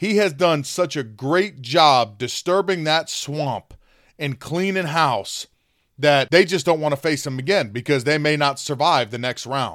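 A man with an American accent, a plain, everyday voice, fairly high pitch, ordinary pitch variation and a fairly slow pace. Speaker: podcast host. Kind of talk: political commentary monologue.

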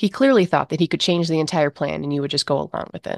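A woman speaks very fast in an intense, dramatic tone, her voice very deep and low with ordinary pitch variation, recorded dry and close with no echo against a quiet background. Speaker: horror story narrator and podcast host. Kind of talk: second-person horror narration, read aloud. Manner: tense, intense, building suspense, vivid and dramatic.

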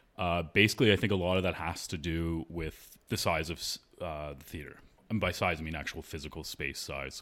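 A man with a Canadian accent, very deep and low in pitch, at a fairly quick pace on a very clean recording with a silent background. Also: ordinary pitch variation. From Canada, Toronto. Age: 30s. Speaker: opera singer. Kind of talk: casual interview.

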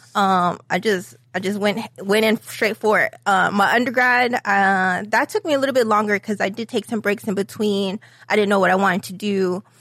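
In an American accent, a woman speaks with fairly even intonation in a plain, everyday voice. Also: medium pitch for a woman, moderate pace. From upstate New York. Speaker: entrepreneur, pop-up event founder. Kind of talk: interview.

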